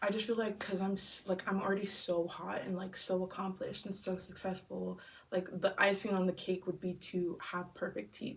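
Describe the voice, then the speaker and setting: The speech moves at a moderate pace with monotone, flat intonation. There are hardly any pauses. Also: woman, medium pitch for a woman. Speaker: vlogger. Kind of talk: casual vlog.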